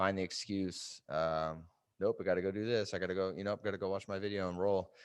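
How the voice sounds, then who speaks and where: Against a quiet background, a man with a fairly low pitch speaks at a very fast pace in a monotone, flat intonation. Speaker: fitness coach. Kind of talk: tutorial. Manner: casual, hesitant with fillers.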